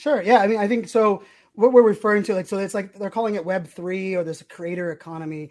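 An animated voice with an American accent talks at a very fast pace against a quiet background. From Pittsburgh, US. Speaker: digital speaker and podcaster. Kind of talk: interview conversation. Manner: fast talker.

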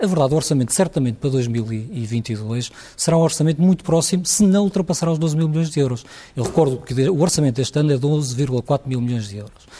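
Somewhat breathy and with lively intonation, the voice moves at a fairly quick pace. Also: man, fairly high pitch for a man. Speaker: hospital administrators' association president. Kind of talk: televised panel debate.

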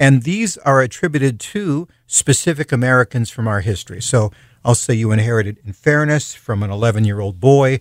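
An unremarkable speaking voice with lively intonation, recorded dry and close with no echo. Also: man. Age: 60s. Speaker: professional storyteller and speaker. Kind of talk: casual radio interview.

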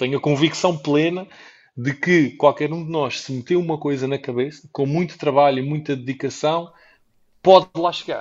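A plain, everyday voice from a man, fairly high in pitch, with ordinary pitch variation and a moderate pace. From Portugal. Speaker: traveller and entrepreneur. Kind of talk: interview.

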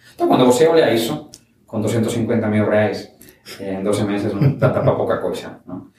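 A man with a Spanish accent talks at a fairly slow pace in a medium pitch. His pitch varies in an ordinary way, and the room echo is audible. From Spain (Valencia, raised in Barcelona). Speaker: startup founder. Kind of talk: interview. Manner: halting, mixes Spanish and Portuguese.

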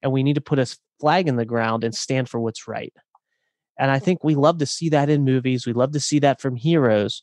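A man talks at a fairly quick clip in a plain, everyday voice with ordinary pitch variation. The sound is dry and close, with no echo. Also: medium pitch for a man. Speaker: author and coach. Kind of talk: casual interview chat.

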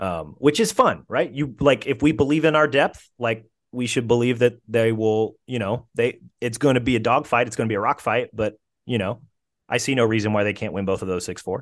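Against a quiet background, a man speaks at a medium pitch and a fairly quick pace. He has a normal speaking voice with ordinary pitch variation. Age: 30s. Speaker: sports journalist and podcast host. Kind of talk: casual chat, interview. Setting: audio-only recording, late evening.

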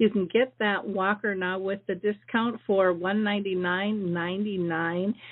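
At a moderate pace, a woman speaks in an ordinary speaking voice at medium pitch with fairly even intonation. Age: 60s. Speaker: radio host. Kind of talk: radio announcements; live radio interview. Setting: radio studio, live call-in show.

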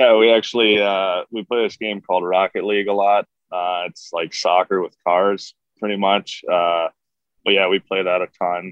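This man talks in a fairly low voice with flat, monotone intonation. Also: moderate pace. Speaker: professional hockey defenseman. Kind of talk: casual interview answers.

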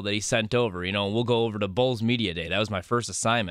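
With a normal speaking voice and medium pitch, a man talks at a fairly quick pace. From Chicago area, US Midwest. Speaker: radio producer. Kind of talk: casual chat.

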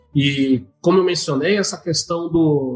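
In an ordinary speaking voice, a man talks at a fairly high pitch. His pace is fairly slow and his intonation lively. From Santa Catarina, Brazil, raised in Mato Grosso. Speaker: accountant. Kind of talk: interview.

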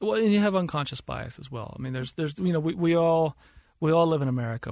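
Somewhat breathy and fairly quick, a man speaks with ordinary pitch variation. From US South. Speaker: filmmaker. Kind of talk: interview. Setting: studio.

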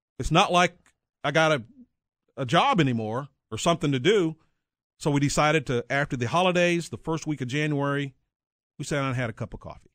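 A very fast speaker with an American accent and ordinary pitch variation, breaking often into long pauses. The recording is very clean and dry, close-miked with no echo and a silent background. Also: man, fairly high pitch for a man. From north central Texas. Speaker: retired TV sportscaster and author. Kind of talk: interview.

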